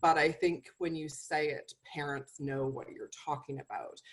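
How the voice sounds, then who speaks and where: The voice is a woman's. She talks at a moderate speed. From Canada. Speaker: nutritionist and medical herbalist. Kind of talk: webinar presentation. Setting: video call webinar.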